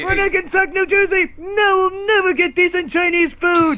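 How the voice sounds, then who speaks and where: A put-on character voice, nasal and extremely high-pitched, moves at a moderate pace. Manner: comedic impression.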